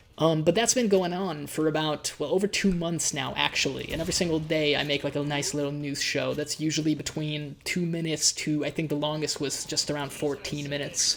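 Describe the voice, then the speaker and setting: A fairly quick delivery with hardly any pauses, over noticeable background noise. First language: Hungarian. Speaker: gaming YouTuber. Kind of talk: gameplay commentary. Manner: casual, hesitant with repetitions.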